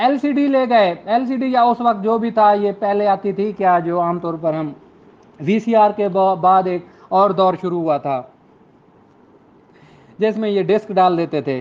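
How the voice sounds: This man's voice is high-pitched and varies in pitch in an ordinary way. He speaks at a fairly slow pace.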